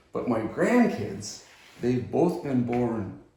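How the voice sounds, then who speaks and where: Over noticeable background noise and audible room echo, a man speaks at a fairly slow pace with ordinary pitch variation. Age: 70s. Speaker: retired climatologist. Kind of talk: interview.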